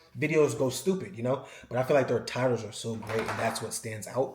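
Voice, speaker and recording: There is audible room echo as a man talks. He goes at a very fast pace with ordinary pitch variation. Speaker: YouTuber, cooking channel creator. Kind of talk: casual vlog monologue. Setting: home, checking YouTube studio.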